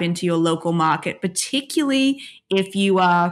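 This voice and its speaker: Medium-pitched woman at a moderate pace on a very clean recording with a silent background. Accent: Australian. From Australia. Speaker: author and PhD student. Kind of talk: casual interview.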